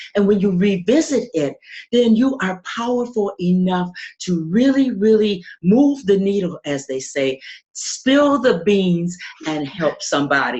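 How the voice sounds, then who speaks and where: A woman speaks at medium pitch and a fairly slow pace, somewhat breathy. Her pitch swings very widely. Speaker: podcaster. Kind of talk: interview answer.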